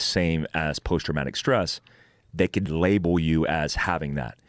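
Vocal fry runs through speech at a moderate pace, recorded dry with no echo against a quiet background. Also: man. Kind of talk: interview answer. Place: studio. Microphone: studio mic.

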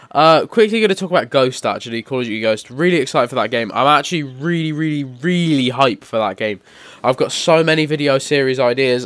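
A man with a fairly high voice talks at a very fast pace, his intonation lively. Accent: British. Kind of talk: gaming commentary. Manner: casual, rambling.

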